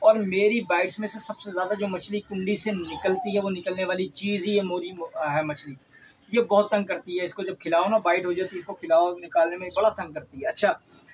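At a moderate pace and with fairly even intonation, the speaker talks over light background noise. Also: man, high pitch for a man. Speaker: fishing bait seller. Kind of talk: tutorial. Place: home room. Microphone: phone near.

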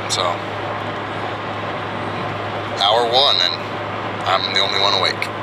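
The pace is fairly quick, and the sound is dry with no echo. Loud background noise runs underneath. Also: man. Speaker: family vlogger. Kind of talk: casual vlog chat. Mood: upbeat, amused. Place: car. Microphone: phone near.

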